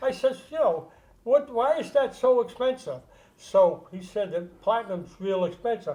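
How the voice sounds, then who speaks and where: Here a man speaks at an extremely high pitch. His intonation is lively and his pace moderate. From Rhode Island. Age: 80s+. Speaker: career burglar. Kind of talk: podcast interview storytelling.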